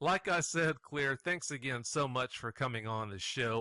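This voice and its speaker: Against a quiet background, a man's bright, sharp tone carries lively intonation. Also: dry, close sound with no echo. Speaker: radio show host. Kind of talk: radio interview.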